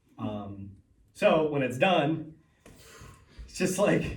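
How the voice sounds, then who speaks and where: A man's lively intonation with audible room echo. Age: 30s. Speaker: real estate investor and seminar host. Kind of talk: seminar talk. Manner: casual, halting with repetitions.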